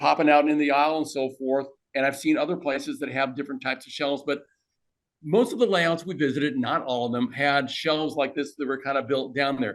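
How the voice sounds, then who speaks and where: With a plain, everyday voice, a man talks at a fairly quick pace in a fairly high pitch with ordinary pitch variation. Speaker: model railroader. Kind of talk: club presentation talk. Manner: casual, conversational.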